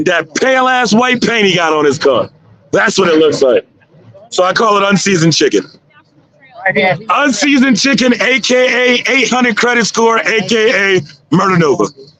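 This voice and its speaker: Amid noticeable background noise, a man with a high pitch and lively intonation uses a raised, projected voice and an animated tone, keeping a moderate pace and very even loudness while leaving long, frequent pauses. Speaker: drag racing livestream commentator. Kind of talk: live commentary. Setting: livestream.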